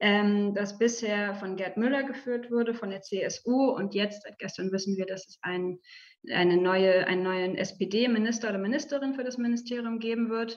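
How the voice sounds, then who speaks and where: At medium pitch, a woman with an ordinary speaking voice talks at a moderate pace, with ordinary pitch variation and big swings in loudness. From Germany, Berlin. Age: 30s. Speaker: media development researcher. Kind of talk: talk to journalism students. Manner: many filler sounds and restarts.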